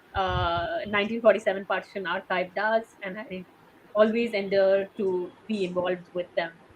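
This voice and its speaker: A woman with a Sindhi accent, medium pitch, fairly even intonation, big swings in loudness and a moderate pace. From India, Sindhi family. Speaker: oral history interviewer and writer. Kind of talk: interview.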